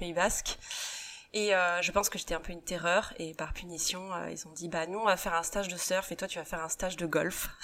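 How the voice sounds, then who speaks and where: A woman speaks at a fairly quick pace with a bright, sharp tone. Her pitch sits fairly low, and her intonation stays monotone and flat. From western France, Saint-Nazaire. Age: 30s. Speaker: rugby coach's wife, beauty business owner. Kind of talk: interview. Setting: at her home.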